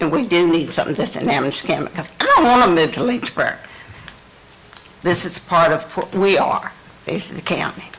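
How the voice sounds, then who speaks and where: Over noticeable background noise, a woman with an American accent and a fairly low pitch talks at a fairly quick pace with lively intonation and long, frequent pauses. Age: 70s. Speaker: retired resident speaking at public hearing. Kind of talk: public comment at county meeting.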